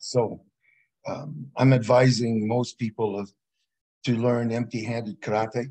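Speaking slowly, a man keeps his medium-pitched voice with little pitch movement. His tone is slightly mellow.

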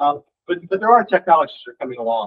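Dry and close with no echo, a man's medium-pitched voice carries a slightly husky edge and moves at a fast pace.

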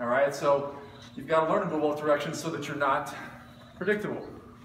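Talking at a very fast pace with ordinary pitch variation, a man is heard amid light background noise and audible room echo. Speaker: boxing instructor. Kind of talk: tutorial. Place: gym. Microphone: camera far.

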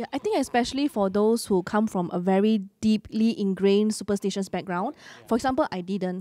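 A woman with a dark, mellow tone talks at a fairly quick pace with hardly any pauses, in a dry sound with no echo. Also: ordinary pitch variation. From Malaysia. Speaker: church podcast co-host. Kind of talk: casual chat; panel discussion chat. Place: studio. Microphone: handheld.

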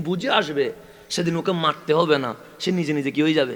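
A man speaks at a high pitch against noticeable background noise. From Chittagong, Bangladesh. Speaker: Islamic preacher. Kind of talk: sermon. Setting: religious gathering with PA system.

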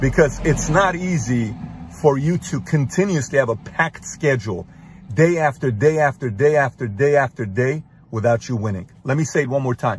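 Somewhat breathy, a man speaks at a moderate pace with lively intonation. The sound is dry with no echo, with light background noise. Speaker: motivational speaker. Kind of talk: motivational monologue. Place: car. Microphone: phone near.

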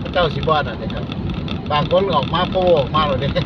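A dry sound with no echo, under loud background noise. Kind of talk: casual driving commentary. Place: car. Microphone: phone near.

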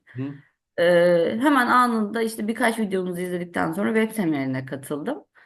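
This woman's pitch swings very widely. She talks at a moderate pace. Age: 30s. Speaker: civil servant, trading student. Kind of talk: testimony.

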